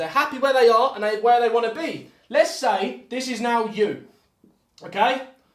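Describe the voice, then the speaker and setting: Loud, animated speech at a moderate pace in a British accent. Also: man. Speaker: motivational speaker. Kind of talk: motivational talk. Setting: live video call.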